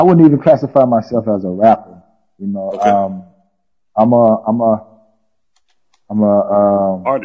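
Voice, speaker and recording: A man speaks at a moderate pace with a fairly low pitch and ordinary pitch variation. His long pauses come often. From Atlanta, Georgia, US South. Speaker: rapper. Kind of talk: interview testimony.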